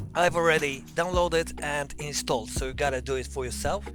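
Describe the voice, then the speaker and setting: Someone speaks with a Polish accent over music in the background. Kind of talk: software tutorial voice-over. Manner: casual, hesitant.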